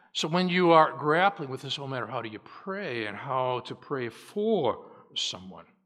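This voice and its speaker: In an ordinary speaking voice, a man with a fairly high pitch talks with lively intonation and big swings in loudness. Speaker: preacher. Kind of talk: sermon; fervent prayer at the close of a sermon, spoken to God with solemn, pleading earnestness. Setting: church. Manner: earnest, pleading, slow and heartfelt, with deliberate pauses in the prayer; formal, teacherly.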